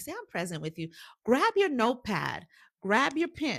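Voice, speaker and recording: The recording is very clean, with a silent background. A woman speaks in an animated tone. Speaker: career coach. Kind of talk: live-stream motivational class.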